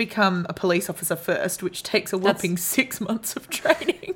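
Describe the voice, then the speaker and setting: A woman's medium-pitched, somewhat breathy voice at a fairly quick pace, with ordinary pitch variation. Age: 30s. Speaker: podcast co-host. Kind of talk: casual chat.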